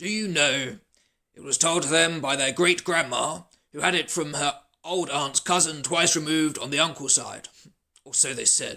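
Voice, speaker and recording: Speaking at a moderate pace, a man puts on a raspy character voice with a fairly high pitch. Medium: read story. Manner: warm, good-humoured.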